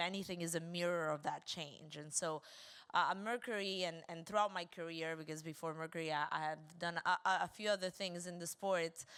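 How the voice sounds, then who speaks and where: A woman with an Argentine accent speaks at a fairly quick pace and a fairly low pitch. Her intonation is fairly even, on a very clean recording with a silent background. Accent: Argentinian. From Argentina. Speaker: women's football club founder. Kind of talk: panel discussion.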